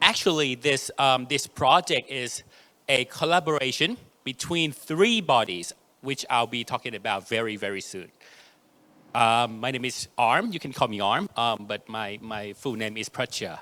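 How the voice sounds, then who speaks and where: This man has a medium-pitched voice with a bright, sharp tone and a Thai accent. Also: lively intonation, moderate pace. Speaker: AI researcher. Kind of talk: conference talk.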